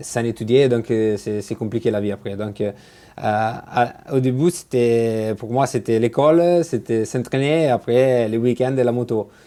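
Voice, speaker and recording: Speaking at a fairly slow pace, a man with an Italian accent has a dark, mellow tone. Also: medium pitch for a man, ordinary pitch variation. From Italy, Genoa. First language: Italian (speaking French). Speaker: motorcycle racer. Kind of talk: interview. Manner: halting, many fillers.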